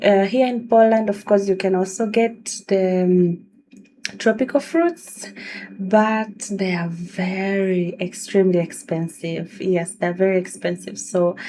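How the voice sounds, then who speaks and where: A woman in a Tanzanian accent talks fairly slowly at a medium pitch with fairly even intonation. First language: Swahili. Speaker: video blogger. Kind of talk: casual vlog talk.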